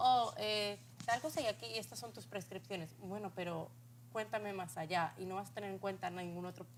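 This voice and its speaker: Medium pitch for a woman, a fairly quick pace and very wide pitch swings. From Spain. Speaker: talk show host. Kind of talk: interview.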